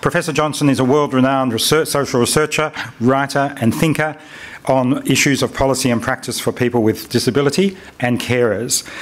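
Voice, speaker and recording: A man with a plain, everyday voice speaks fairly quickly at a medium pitch. His loudness stays very even and his intonation fairly even. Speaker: conference chair. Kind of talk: event introduction. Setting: stage with audience.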